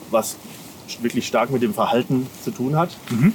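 A man talks with lively intonation at a medium pitch. Noticeable background noise sits behind him. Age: 30s. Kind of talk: interview.

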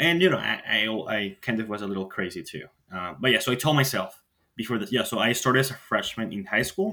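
Talking at a fairly quick pace, a man with a fairly low pitch shows ordinary pitch variation, a bright, sharp tone and a slightly husky edge.

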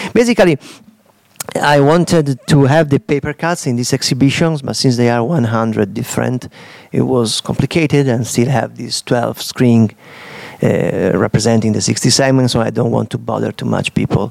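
An Italian accent in a dry, close recording with no echo and noticeable background noise. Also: man, medium pitch for a man, ordinary pitch variation, moderate pace. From Italy, Udine. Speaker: digital artist. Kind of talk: interview about his exhibition. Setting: live recording at an exhibition space.

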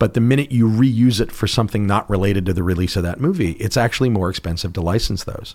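The intonation moves in a lively way. It is an unremarkable speaking voice. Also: man. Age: 40s. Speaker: theme park designer. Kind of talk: interview. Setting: studio.

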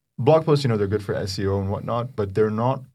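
This man's voice sits fairly low. His tone is dark and mellow, somewhat breathy. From Egypt, Cairo. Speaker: AI startup co-founder. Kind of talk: casual interview. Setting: studio.

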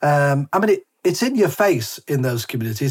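The speaker has a northern English accent and a moderate pace. Their pitch swings very widely. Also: man. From northern England. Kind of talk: interview conversation. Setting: remote call.

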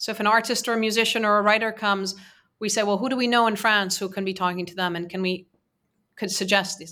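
A woman with a Persian accent speaks very fast at a medium pitch, her tone bright and sharp. Her intonation stays monotone and flat, and the recording is very clean with a silent background. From Iran. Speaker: nonprofit leader. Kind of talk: interview discussion.

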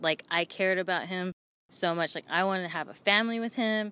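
The voice carries an American accent and a bright, sharp tone in a very clean recording with a silent background. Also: woman. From Oakland, California. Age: 20s. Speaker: musician. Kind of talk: testimony. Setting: outdoors.

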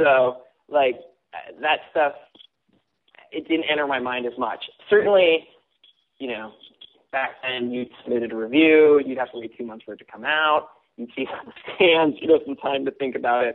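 Speaking at a moderate pace with a Californian accent, a man uses ordinary pitch variation, big swings in loudness and long, frequent pauses. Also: medium pitch for a man. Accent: Californian American. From California, Simi Valley. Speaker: former music journalist and author. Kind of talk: casual chat.

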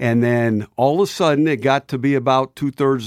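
In an American accent, a man speaks at a medium pitch. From US West Coast, San Jose, California. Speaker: retired football coach. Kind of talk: interview.

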